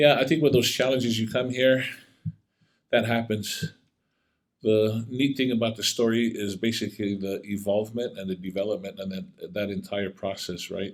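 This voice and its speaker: A man speaks in an unremarkable speaking voice at a moderate pace. His pitch is medium and rises and falls in an ordinary way. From Tonga, moved to US as a child. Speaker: former college athlete and actor. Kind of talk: podcast interview.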